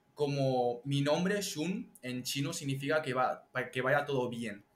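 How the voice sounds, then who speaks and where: Pitch moves with ordinary variation here. The delivery is very slow. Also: man. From Catalonia, Spain (Chinese parents). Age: young (19). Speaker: TikToker and entrepreneur. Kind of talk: interview conversation.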